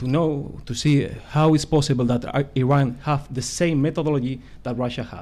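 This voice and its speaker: A man's fairly high voice, dark and mellow in tone, with a non-native accent and fairly even intonation. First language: not English. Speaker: conference speaker on disinformation. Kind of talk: conference presentation. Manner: halting, many hesitations.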